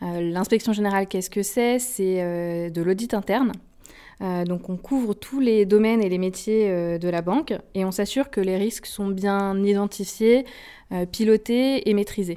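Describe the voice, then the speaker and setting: A dark, mellow woman's voice of medium pitch, ordinary pitch variation and fairly slow pace, on a very clean recording with a silent background. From France, Haute-Savoie. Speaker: management consultant. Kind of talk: interview. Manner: hesitant, with filler sounds.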